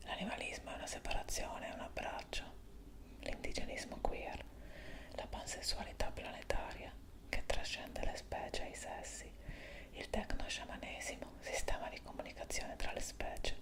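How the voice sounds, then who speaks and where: Someone whispers at a moderate pace, leaving long, frequent pauses. Noticeable background noise runs under the voice. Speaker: ASMR channel host reading aloud. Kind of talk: ASMR reading of an article, whispered-style read-aloud.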